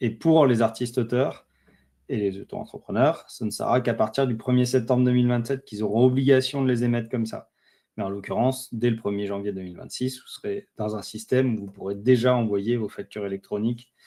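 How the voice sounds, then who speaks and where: A man with a dark, mellow tone speaks at medium pitch with fairly even intonation. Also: fairly quick pace. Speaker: webinar presenter on freelance admin. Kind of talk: webinar presentation. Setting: online webinar. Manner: hesitant, many fillers.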